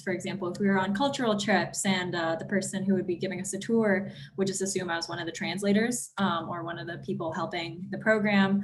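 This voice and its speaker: A woman with an American accent speaks at a fairly quick pace and a medium pitch, her intonation fairly even, with audible echo in the room. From California, Bay Area. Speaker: panelist, exchange program alum. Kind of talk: panel discussion. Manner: hesitant, many fillers.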